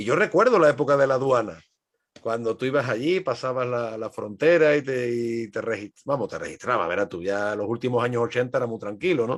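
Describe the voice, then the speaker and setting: The delivery moves at a fairly quick pace. Its pitch variation is ordinary. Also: man, medium pitch for a man. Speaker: historian. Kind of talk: podcast interview.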